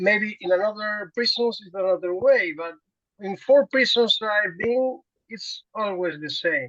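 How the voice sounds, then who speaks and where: Speaking with a Spanish accent, a woman at medium pitch talks at a fairly slow pace with lively intonation. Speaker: prison worker. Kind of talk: conference discussion. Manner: halting, many repetitions.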